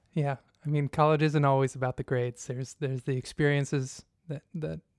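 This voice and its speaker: A plain, everyday voice with fairly even intonation speaks at a moderate pace, its dry, close sound free of echo in a very clean recording with a silent background. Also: man. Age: 30s. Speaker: podcast host. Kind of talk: podcast interview.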